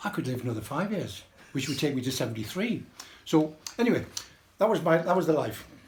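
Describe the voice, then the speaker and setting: Over audible room echo, a man speaks at a fairly quick pace with very wide pitch swings. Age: 80s+. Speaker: birthday celebrant. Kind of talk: speech to party guests. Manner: rambling with repetitions.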